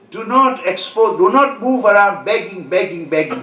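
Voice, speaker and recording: Amid noticeable background noise and audible room echo, a high-pitched man speaks at a fairly slow pace. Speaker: Islamic preacher. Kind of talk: sermon.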